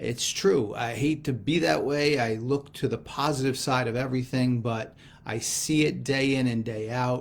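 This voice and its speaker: In an American accent, a man speaks in an ordinary speaking voice at a moderate pace and medium pitch, with ordinary pitch variation and hardly any pauses. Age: 60s. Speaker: gospel reflection speaker. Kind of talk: scripture reflection.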